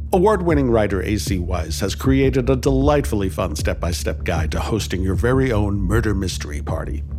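A man's very deep, low voice with lively intonation, a fairly quick pace and hardly any pauses, music in the background. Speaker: podcast host and editor. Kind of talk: scripted show introduction. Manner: warm and enthusiastic.

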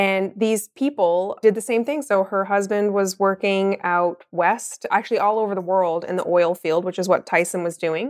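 Speaking with a Newfoundland accent, a woman keeps a moderate pace with hardly any pauses at medium pitch, in a very clean recording with a silent background. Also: ordinary pitch variation. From Newfoundland (Mount Pearl). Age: 40s. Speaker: entrepreneur and tattoo artist. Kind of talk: interview.

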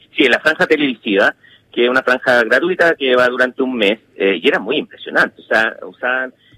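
Fairly quick speech from a man at a medium pitch, bright and sharp in tone, with ordinary pitch variation and a dry, close sound without echo. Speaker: political analyst. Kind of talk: interview. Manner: halting.

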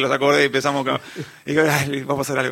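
A man with an unremarkable speaking voice, moderate in pace and fairly high in pitch. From Uruguay, Montevideo. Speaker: singer-songwriter. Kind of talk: radio interview.

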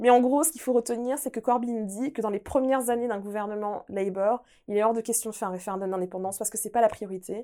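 In a very clean recording with a silent background, a woman speaks very fast in a fairly high, dark, mellow voice, her intonation fairly even but her loudness swinging widely. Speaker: podcast co-host, politics segment presenter. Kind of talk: podcast chat, explaining political news.

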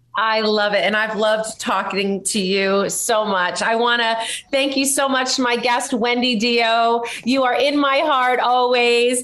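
Fairly high female voice at a fairly slow pace, amid audible room echo and noticeable background noise. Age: 50s. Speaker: podcast host. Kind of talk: interview. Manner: animated.

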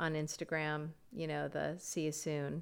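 A woman with an American accent speaks at a fairly slow pace in a very deep, low pitch, her intonation monotone and flat. The recording is very clean, with a silent background. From US, Florida. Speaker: film producer. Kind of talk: casual chat. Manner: halting.

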